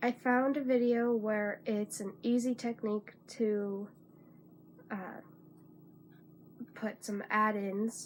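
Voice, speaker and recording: A quiet woman speaks at a very slow pace with a fairly high pitch and monotone, flat intonation. She leaves long, frequent pauses. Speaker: crafter, spinner. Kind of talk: casual talk to camera.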